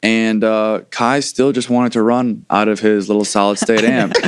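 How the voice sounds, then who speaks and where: A man's monotone, flat delivery at a fairly low pitch and a fairly slow pace. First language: Farsi. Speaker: rock band musician. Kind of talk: casual interview chat.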